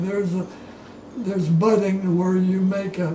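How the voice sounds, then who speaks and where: In an American accent, a man with a high pitch speaks amid noticeable background noise and audible room echo. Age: 80s+. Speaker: oral history interviewee, retired orchardist. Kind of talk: oral history interview. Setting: at home. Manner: halting, with repetitions.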